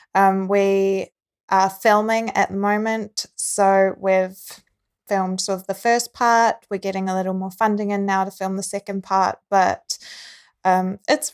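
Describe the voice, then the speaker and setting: A woman with a New Zealand accent at a medium pitch and a fairly slow pace, her intonation fairly even, in a very clean recording with a silent background and a dry, close sound with no echo. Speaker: filmmaker and actress. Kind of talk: casual chat.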